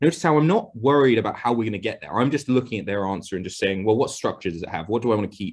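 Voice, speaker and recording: The delivery is very fast, with hardly any pauses. The intonation stays lively throughout. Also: man, medium pitch for a man. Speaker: maths tutor. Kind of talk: tutorial. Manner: hesitant, many fillers.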